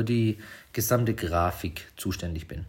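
A man's somewhat breathy voice. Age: 30s. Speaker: podcast host, smartphone photography trainer. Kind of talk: casual solo podcast monologue. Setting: at home at night, quiet house. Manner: hesitant, many filler sounds.

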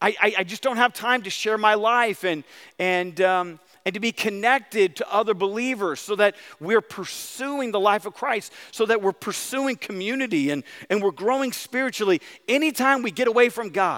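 Animated and bright, sharp in tone, a man speaks at a moderate pace with a high pitch and ordinary pitch variation. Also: dry, close sound with no echo. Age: 40s. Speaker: pastor. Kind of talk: sermon. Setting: church.

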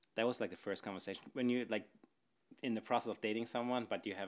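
With a German accent, a man talks at a very fast pace. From northern Germany. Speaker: podcast participant on a date. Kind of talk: casual chat.

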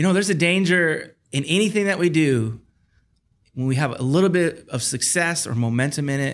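Intonation is lively in this American accent. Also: man. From Michigan, Detroit area. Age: 30s. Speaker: pastor and worship leader. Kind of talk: casual interview chat.

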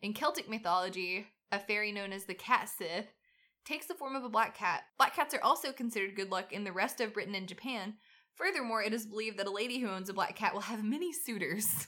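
At a very fast pace, a woman with a Southern US accent speaks in a bright, sharp tone with fairly high pitch and lively intonation. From US South. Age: 30s. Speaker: podcast co-host. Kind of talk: casual chat. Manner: animated.

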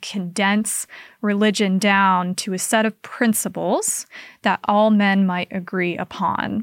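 On a very clean recording with a silent background, a woman speaks at medium pitch in a monotone, flat intonation, with a dry, close sound and no echo. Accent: American. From Utah, Salt Lake area (Kaysville). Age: 20s. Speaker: cult recovery advocate. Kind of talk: interview conversation.

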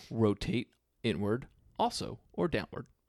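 A man at medium pitch with vocal fry and a fairly slow pace, on a very clean, dry, close recording with a silent background and no echo. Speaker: swim coach. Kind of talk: casual chat.

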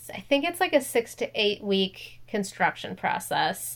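Speaking at a fairly slow pace with an American accent, a woman's voice makes very wide pitch swings. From US Midwest, Minnesota. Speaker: podcast co-host. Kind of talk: casual chat.

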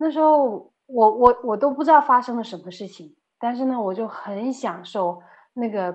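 Lively intonation from a woman, high in pitch and moderate in pace. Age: 30s. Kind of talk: testimony. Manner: halting, many fillers.

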